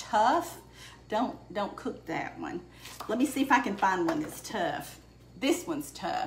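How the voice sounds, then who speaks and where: A woman speaks with a Southern US accent and lively intonation. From Alabama. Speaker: home cook. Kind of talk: casual cooking demonstration to camera. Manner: chatty, friendly.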